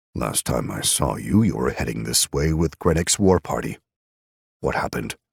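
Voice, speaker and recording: Putting on a character voice, a man speaks at a very deep, low pitch with very wide pitch swings, recorded with a dry, close sound and no echo. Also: moderate pace. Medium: read story. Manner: stern, stony, measured.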